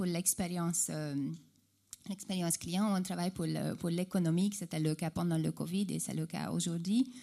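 Speaking fairly slowly in a Hungarian accent, a woman uses a fairly low pitch, fairly even intonation and a dark, mellow tone. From Hungary. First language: Hungarian (speaking French). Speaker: e-commerce customer service executive. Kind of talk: panel discussion. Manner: halting, many repetitions.

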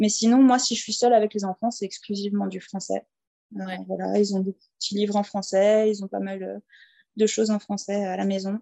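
Her intonation is monotone and flat. This medium-pitched woman speaks at a fairly quick pace. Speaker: teacher living abroad. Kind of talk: interview. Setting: at home. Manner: hesitant, many fillers.

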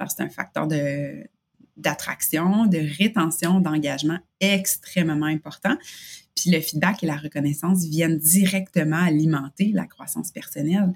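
A woman speaks with a Quebec accent at a fairly slow pace, somewhat breathy. Her voice is fairly low, with fairly even intonation. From Quebec, Canada. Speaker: workplace engagement expert. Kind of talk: interview. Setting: video call.

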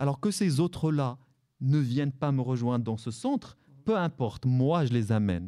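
Lively intonation and a dark, mellow tone in an Arabic accent, on a very clean recording with a silent background. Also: man, medium pitch for a man, moderate pace. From Morocco, Salé. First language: Arabic (speaking French). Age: 40s. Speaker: novelist. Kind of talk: live radio interview. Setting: library with audience.

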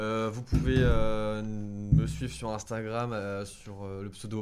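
The voice keeps a fairly even intonation. Noticeable background noise runs underneath. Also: man. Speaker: podcast host. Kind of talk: casual chat.

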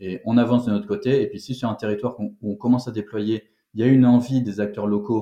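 A man speaks at a fairly quick pace in a dark, mellow tone against a quiet background. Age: 30s. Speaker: startup founder. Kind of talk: interview.

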